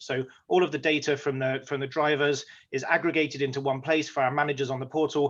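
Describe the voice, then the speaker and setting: A speaker with an English accent talks in a flat, monotone way over a quiet background. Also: man. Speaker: company executive. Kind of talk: webinar presentation.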